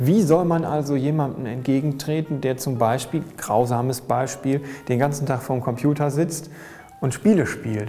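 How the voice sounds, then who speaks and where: A man speaks at a moderate pace with medium pitch and fairly even intonation, with audible room echo and noticeable background noise. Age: 30s. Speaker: graffiti artist. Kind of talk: interview. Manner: halting.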